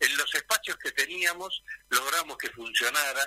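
A man speaks with a Rioplatense accent at a moderate pace. The sound is dry and close, with no echo. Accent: Argentine Spanish (rioplatense). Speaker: retired politician, former mayor. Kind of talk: radio interview.

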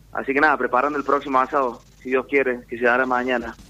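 Racing at a very fast pace, a man speaks at a medium pitch with a bright, sharp tone and a monotone, flat delivery. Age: 20s. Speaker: professional rugby player. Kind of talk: casual interview.

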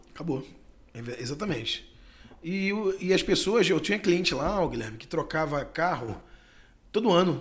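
The speaker talks at a moderate pace with lively intonation. Long, frequent pauses break up the speech. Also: man, high pitch for a man. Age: 40s. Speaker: bar owner and natural gas vehicle businessman. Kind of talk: casual interview.

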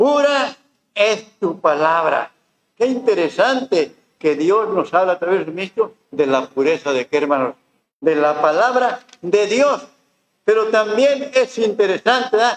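A man with a high voice speaks at a fairly slow pace, and his pitch swings very widely. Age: 70s. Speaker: pastor. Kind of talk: sermon. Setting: church.

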